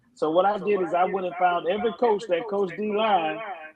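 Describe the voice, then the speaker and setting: A man speaks loudly. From Alabama. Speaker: football head coach. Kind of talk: podcast interview.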